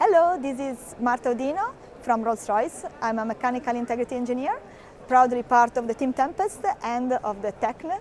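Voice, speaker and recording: The speaker has lively intonation at a moderate pace. Noticeable background noise runs underneath. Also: woman, high pitch for a woman. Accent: Italian. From Italy. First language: Italian. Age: young. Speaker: mechanical engineer. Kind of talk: recorded testimony. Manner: halting, many fillers.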